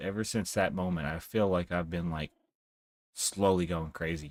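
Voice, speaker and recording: Recorded very cleanly against a silent background, a man speaks with a very deep, low pitch. His intonation stays fairly even. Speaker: gaming streamer. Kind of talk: live gaming stream commentary. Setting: live stream.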